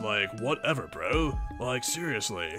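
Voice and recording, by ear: Over clear music in the background, a man does a put-on character voice at medium pitch. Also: moderate pace.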